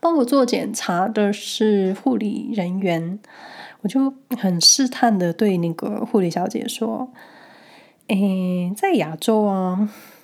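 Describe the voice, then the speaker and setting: This woman talks at a very slow pace with a relaxed tone. Her pitch sits in the middle range and varies in an ordinary way. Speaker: podcast host. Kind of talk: casual solo monologue, personal storytelling. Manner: slow, relaxed.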